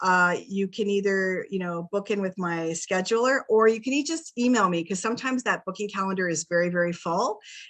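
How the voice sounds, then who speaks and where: A woman with an unremarkable speaking voice talks at a fairly quick pace with hardly any pauses, against a quiet background. Her pitch is medium, with ordinary pitch variation. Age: 50s. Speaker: wellness coach. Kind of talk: interview on a video call.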